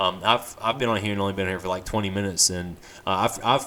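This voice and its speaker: A man talks at a fairly quick pace. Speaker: live streamer. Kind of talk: casual live stream talk. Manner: fast; halting, many fillers.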